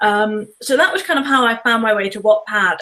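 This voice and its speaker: A woman with a British accent speaks at a moderate pace in a fairly high, bright, sharp tone with lively intonation. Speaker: author. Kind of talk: interview.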